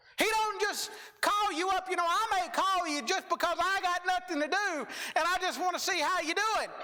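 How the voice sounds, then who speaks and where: The voice is loud and keeps a moderate pace. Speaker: preacher. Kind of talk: sermon.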